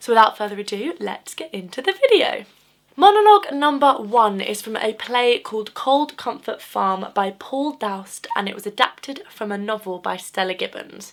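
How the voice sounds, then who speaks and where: A woman with a plain, everyday voice, fairly high in pitch, at a moderate pace, with lively intonation and big swings in loudness. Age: 20s. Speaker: drama student. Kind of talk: casual talk to camera.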